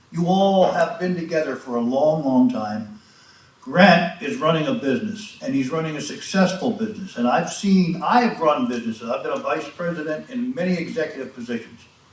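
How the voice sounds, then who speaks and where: Spoken at a fairly quick pace, the voice swings very widely in pitch over noticeable background noise. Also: man, high pitch for a man. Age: 70s. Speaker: resident speaking at public comment. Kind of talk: public comment at township meeting. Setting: township board meeting. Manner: impassioned.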